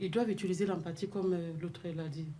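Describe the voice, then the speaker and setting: A dark, mellow tone comes through somewhat breathy, with audible room echo. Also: woman. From sub-Saharan Africa. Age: 40s. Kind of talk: radio discussion.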